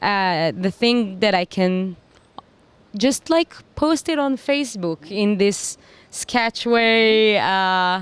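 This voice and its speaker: A woman in an Israeli accent, medium-pitched with lively intonation, very slow with long, frequent pauses, very even in loudness, in a dry, close sound with no echo. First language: Hebrew. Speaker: singer-songwriter. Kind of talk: interview.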